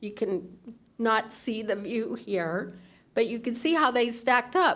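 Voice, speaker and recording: Her speech moves very slowly, with normal rises and falls in pitch. The room adds a clear echo around the woman. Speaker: public commenter. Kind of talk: public comment with slides. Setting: city council meeting.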